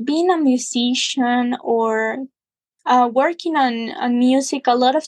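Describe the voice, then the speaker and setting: A woman's high voice in a Spanish accent, at a very slow pace, with a dry, close sound with no echo against a quiet background. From Guatemala, Huehuetenango. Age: 20s. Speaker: musician. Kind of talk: interview. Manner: halting.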